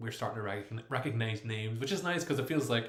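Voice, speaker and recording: A man with an Irish accent talks very fast at a medium pitch. Noticeable background noise runs behind him. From Ireland. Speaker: YouTuber, former Jehovah's Witness. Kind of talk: live stream chat reading comments. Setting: live stream at home. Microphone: laptop microphone, poor audio.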